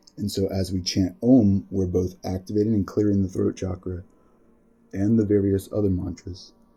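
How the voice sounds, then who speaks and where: Fairly low male voice over background music. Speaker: yoga teacher and musician. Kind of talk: spiritual talk. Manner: reflective, conversational.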